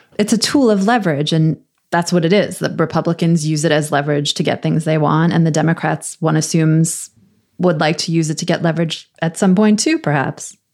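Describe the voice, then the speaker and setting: Using a normal speaking voice, a woman with a fairly low pitch talks at a fairly quick pace with fairly even intonation. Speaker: podcast host, journalist.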